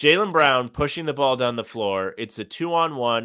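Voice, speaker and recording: Here is a normal speaking voice at a moderate pace. The intonation is lively. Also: man. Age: 20s. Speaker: sports podcast co-host. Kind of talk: casual chat.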